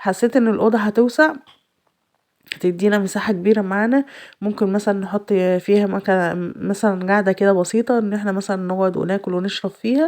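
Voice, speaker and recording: Speaking at a moderate pace with a rural Egyptian accent, a woman uses a medium pitch and ordinary pitch variation. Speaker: home vlogger, mother. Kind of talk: casual vlog narration. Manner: halting with fillers.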